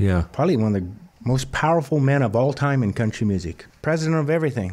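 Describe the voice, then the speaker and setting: Fairly quick pace in a normal speaking voice, with an American accent. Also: man. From Montana, US. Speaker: country songwriter and singer. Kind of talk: interview. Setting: studio.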